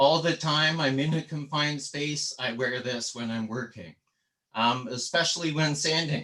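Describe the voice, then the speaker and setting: A man speaks at a fairly high pitch in a bright, sharp tone. His pace is moderate and his pitch variation ordinary. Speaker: woodturner. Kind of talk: tutorial. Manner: casual.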